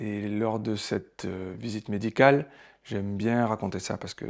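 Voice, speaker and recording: The recording is very clean, with a silent background. The speaker keeps a moderate pace with ordinary pitch variation. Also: man. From southern France, Marseille. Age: 40s. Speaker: theatre director. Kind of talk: personal testimony. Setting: at home. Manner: hesitant, many filler sounds.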